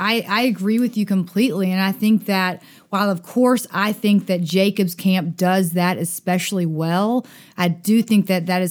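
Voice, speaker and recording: A woman with a Southern US accent talks at a moderate pace and medium pitch, with ordinary pitch variation, on a very clean recording with a silent background. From US South, Dothan, Alabama. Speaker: summer camp director. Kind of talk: podcast interview.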